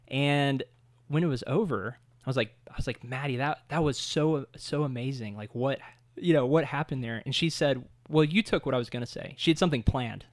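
The speaker has a normal speaking voice with ordinary pitch variation and a fairly quick pace. The recording is very clean, with a silent background. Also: man, fairly high pitch for a man. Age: 30s. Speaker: author and church planter. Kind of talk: casual interview chat.

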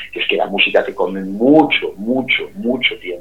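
A man with a Galician accent talks over noticeable background noise. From Galicia, A Coruña province, Spain. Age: 50s. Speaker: singer. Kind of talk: interview.

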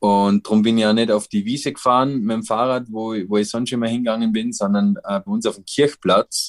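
A man with a normal speaking voice talks at medium pitch, fairly quickly and with hardly any pauses. His intonation is fairly even, and the sound is dry and close with no echo. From Austria, Vorarlberg (Dornbirn). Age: 30s. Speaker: professional paraglider. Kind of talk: interview.

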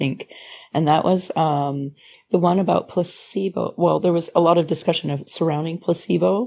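A woman with a Canadian accent, fairly quick pace, calm, dark and mellow tone, fairly low pitch and vocal fry. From Ontario, Canada (Sarnia area, Thunder Bay). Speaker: massage therapist and classical singer. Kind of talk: casual interview. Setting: video call.

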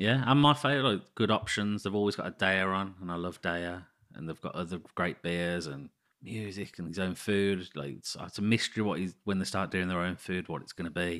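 In a Birmingham accent, a man with a very deep, low pitch speaks at a fairly quick pace on a very clean recording with a silent background. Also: ordinary pitch variation. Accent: Birmingham (Brummie). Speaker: podcast co-host. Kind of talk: casual chat.

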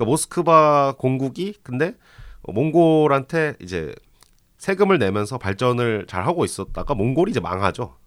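Very clean recording with a silent background of a man at medium pitch, talking at a fairly quick pace with very wide pitch swings. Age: 20s. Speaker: author. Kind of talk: lecture.

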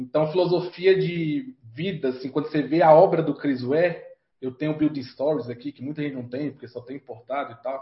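Somewhat breathy, a man speaks at a fairly quick pace with a fairly high pitch, ordinary pitch variation and big swings in loudness. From Brazil, Federal District (Vale do Amanhecer, Brasília periphery). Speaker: comic book artist. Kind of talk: casual interview.

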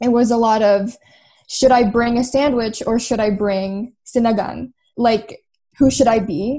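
Her tone dark and mellow, a woman with a Canadian accent speaks at a fairly slow pace in a fairly high pitch with fairly even intonation. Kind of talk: panel discussion.

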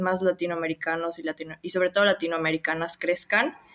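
Flat and monotone, a woman speaks at a fairly quick pace in a fairly low pitch, the sound dry and close with no echo. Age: 20s. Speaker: crypto community contributor. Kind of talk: interview.

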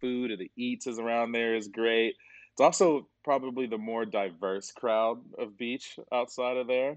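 A man with an American accent uses an ordinary speaking voice at a medium pitch, a moderate pace and fairly even intonation. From US, Atlanta area. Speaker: IT consultant. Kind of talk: casual interview chat.

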